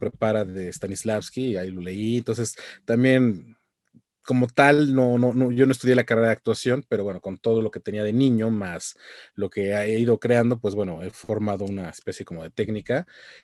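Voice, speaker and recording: A man speaks in a plain, everyday voice with ordinary pitch variation, recorded with a dry, close sound and no echo. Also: medium pitch for a man, fairly quick pace. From Mexico. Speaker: voice actor. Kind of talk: interview answer.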